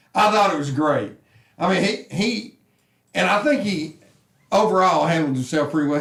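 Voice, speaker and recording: Loud, a man speaks in a Southern US accent. His pitch swings very widely. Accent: Southern US (Georgia). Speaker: sports talk show host. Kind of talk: casual sports talk. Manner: animated.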